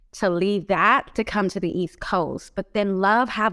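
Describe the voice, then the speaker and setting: The speaker has a Californian accent and a fairly slow pace with fairly even intonation. The recording is very clean, with a silent background. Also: woman. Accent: Californian American. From Los Angeles. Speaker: mental health advocate and nonprofit founder. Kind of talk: casual interview.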